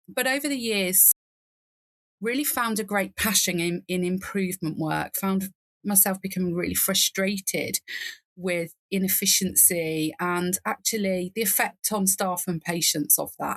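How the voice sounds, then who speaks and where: A woman speaks in a British accent with ordinary pitch variation. Her loudness is very even, and the sound is dry and close with no echo. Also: medium pitch for a woman, moderate pace. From England. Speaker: nurse and nursing informatics leader. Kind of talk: podcast interview. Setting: remote call from garden reading nook.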